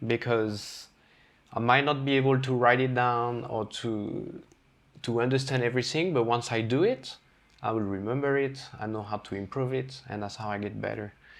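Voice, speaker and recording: In a French accent, a man talks at a moderate pace and medium pitch with fairly even intonation. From France, Brittany. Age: 30s. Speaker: chef. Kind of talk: casual chat.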